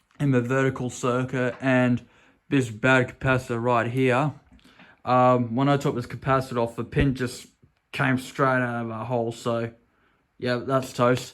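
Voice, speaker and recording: With an Australian accent, a man speaks at a medium pitch in a monotone, flat way. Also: fairly slow pace. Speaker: vintage electronics restorer. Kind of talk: casual talk to camera. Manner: hesitant, stuttery at points.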